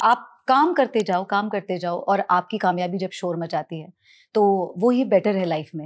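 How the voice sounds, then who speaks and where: This woman has an ordinary speaking voice. Her medium pitch shows ordinary pitch variation. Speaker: television actress and singer. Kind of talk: interview conversation.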